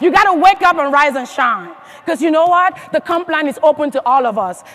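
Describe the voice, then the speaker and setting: The speaker has an animated tone and a fairly quick pace, with noticeable background noise. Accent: African. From Africa. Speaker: motivational speaker at a sales convention. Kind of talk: motivational speech. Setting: stage with audience.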